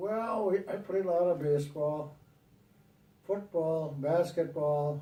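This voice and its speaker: In a dark, mellow, somewhat breathy voice, a man talks at a very slow pace with ordinary pitch variation and audible room echo. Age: 80s+. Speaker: grandfather recording a family legacy video. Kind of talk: family oral history interview. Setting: at home on a couch, recorded on video. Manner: halting.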